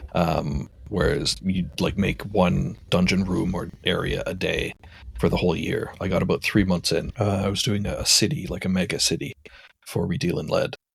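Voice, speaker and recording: Very deep, low-pitched male voice with a Canadian accent, moderate pace and ordinary pitch variation. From Canada (Ontario, then Alberta). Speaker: game designer. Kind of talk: podcast interview. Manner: halting, many fillers.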